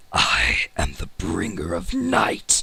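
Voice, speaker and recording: In a put-on character voice, a man sounds raspy and rumbling. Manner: ominous.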